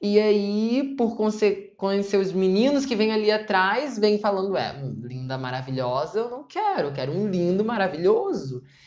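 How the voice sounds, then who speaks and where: There is music in the background as a woman speaks at a medium pitch. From Rio de Janeiro, Brazil. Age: 20s. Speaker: nursing student and novelist. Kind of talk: interview answer.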